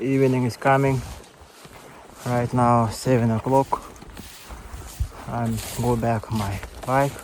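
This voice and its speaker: Over noticeable background noise, a man with a strong Yakutia accent speaks very slowly at a medium pitch, in a flat monotone broken by long, frequent pauses. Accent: strong Yakut accent in English. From Yakutia, North-Eastern Siberia, Russia. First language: Yakut (Sakha). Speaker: hunter. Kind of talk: casual talk to camera. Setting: outdoors.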